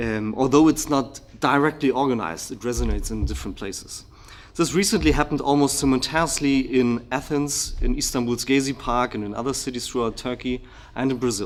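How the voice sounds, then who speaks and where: Speaking fairly quickly in a German accent, a man uses a medium pitch with ordinary pitch variation. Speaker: political researcher, keynote speaker. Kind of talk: lecture, partly reading from written paper. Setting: conference hall with audience. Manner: hesitant, many fillers.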